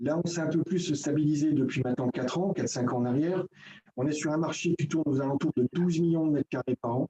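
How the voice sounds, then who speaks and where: Delivering his words at a very fast pace, a man with a fairly high pitch keeps his intonation fairly even in a dry, close recording with no echo. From Franche-Comté, eastern France. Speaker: building trade federation technical advisor. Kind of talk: presentation in a video meeting. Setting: video conference. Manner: hesitant, many filler euh.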